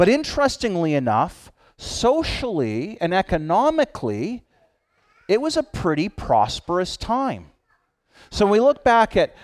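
On a very clean recording with a silent background, a man speaks fairly slowly at a high pitch with very wide pitch swings. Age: 50s. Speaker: pastor. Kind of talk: sermon.

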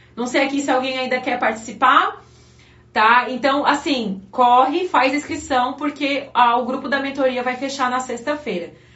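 Spoken at a fairly slow pace, the voice sounds animated, with audible room echo. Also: woman. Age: 30s. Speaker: pastor. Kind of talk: live-stream devotional preaching.

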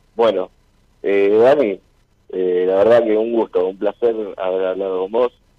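A man speaks at a fairly slow pace with fairly even intonation. Long, frequent pauses break up his speech. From Rosario, Argentina. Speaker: caller. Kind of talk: casual chat with radio host. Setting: phone call to radio show.

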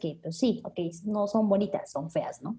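A woman speaks at a moderate pace in a dark, mellow tone. Her intonation is lively. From Mexico City. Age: 20s. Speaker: health business marketer. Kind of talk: interview.

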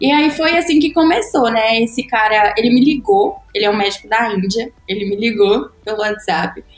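Through noticeable background noise, a woman with a fairly high pitch talks at a moderate pace with very wide pitch swings and hardly any pauses. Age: 20s. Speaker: medical student. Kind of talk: casual chat.

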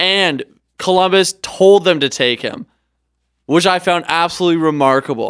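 In a Canadian accent, a man with a high pitch talks at a moderate pace with lively intonation. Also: dry, close sound with no echo. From Canada. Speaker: podcast co-host and travel videographer. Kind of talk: casual chat. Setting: studio.

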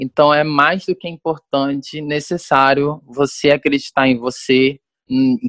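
A man with an ordinary speaking voice, fairly high in pitch, fairly slow and fairly even in intonation, with a dry, close sound and no echo. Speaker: dance teacher. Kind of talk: interview.

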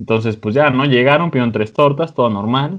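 With a Mexican accent, a man talks at a very fast pace with ordinary pitch variation. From Mexico, another state. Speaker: podcast host. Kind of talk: casual chat.

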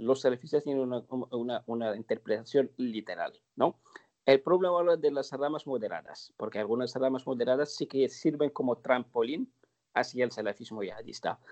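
A man at medium pitch and moderate pace with ordinary pitch variation, his sound dry and close with no echo over a quiet background. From northern Morocco (Larache). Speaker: terrorism and radicalization expert. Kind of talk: interview. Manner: halting, many fillers and repetitions.

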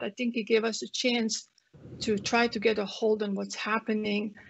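A woman with a Croatian accent speaks at a moderate pace in a fairly high pitch. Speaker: family physician. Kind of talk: interview.

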